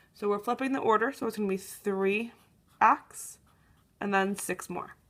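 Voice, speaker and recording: A woman's medium-pitched, normal speaking voice at a moderate pace, with fairly even intonation. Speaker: math teacher. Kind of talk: tutorial. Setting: recorded on an iPad. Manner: casual, with many fillers.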